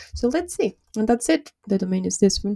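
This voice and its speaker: The speaker has a non-native accent and talks at a fairly quick pace. The sound is dry and close, with no echo. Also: woman. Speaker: YouTuber, small business tech tutorials. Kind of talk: live tutorial screen walkthrough. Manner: fast.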